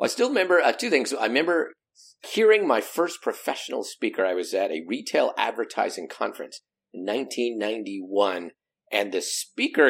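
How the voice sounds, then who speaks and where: With a General American accent, a man speaks at a fairly quick pace. His tone is animated. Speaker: professional speaker and meeting engagement expert. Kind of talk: interview, casual chat. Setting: video call. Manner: humorous, animated.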